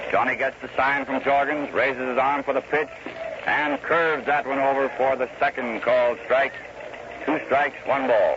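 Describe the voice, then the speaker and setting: Someone with an American accent speaks at a moderate pace in a monotone, flat intonation and very even loudness, with noticeable background noise. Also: man, fairly high pitch for a man. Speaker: radio baseball play-by-play announcer. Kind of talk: 1930s radio baseball play-by-play broadcast. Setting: old 1934 radio broadcast recording with telegraph machines audible in the background. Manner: calm, conversational, rhythmic pacing.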